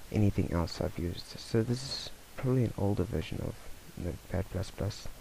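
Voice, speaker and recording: Soft-spoken and fairly low in pitch, a man talks at a moderate pace with ordinary pitch variation. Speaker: tech tutorial youtuber. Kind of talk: screencast tutorial. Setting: at home late at night. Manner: casual.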